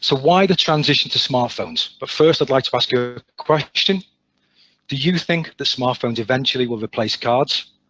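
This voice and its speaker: The speaker has an English accent and talks at a moderate pace. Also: man, fairly high pitch for a man, ordinary pitch variation. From England. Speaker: sales manager. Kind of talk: webinar presentation. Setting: online webinar.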